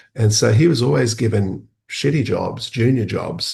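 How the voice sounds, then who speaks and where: A man's fairly low-pitched voice with vocal fry over a quiet background. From rural Australia, Dutch immigrant family. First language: Dutch. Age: 50s. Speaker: academic and social innovator. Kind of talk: interview conversation. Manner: hesitant, many fillers and restarts.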